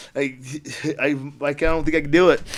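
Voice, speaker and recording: Fairly high in pitch, a man talks at a very fast pace in an animated tone. His pitch varies in an ordinary way. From rural Idaho. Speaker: club promoter and entrepreneur. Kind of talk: podcast interview storytelling. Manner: animated, profane storytelling.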